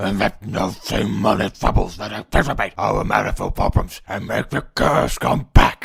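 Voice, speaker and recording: Putting on a character voice, a man mumbles in a raspy, fairly low register at a moderate pace with hardly any pauses. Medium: dub. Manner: mumbled, hard to understand.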